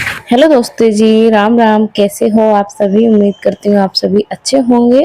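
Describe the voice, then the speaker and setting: Dark, mellow tone with fairly even intonation. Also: woman, dry, close sound with no echo. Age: 20s. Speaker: homemaker vlogger. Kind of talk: casual vlog talk. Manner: hesitant fillers.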